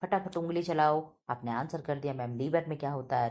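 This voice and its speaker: The woman's pitch is very deep and low. A dark, mellow tone colors her speech. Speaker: teacher. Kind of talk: exam prep tutorial. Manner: loud.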